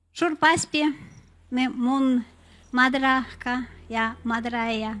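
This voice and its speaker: Very slowly, a woman speaks with a Sami accent at a high pitch and fairly even intonation, on a very clean recording with a silent background. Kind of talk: ceremonial remarks. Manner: halting.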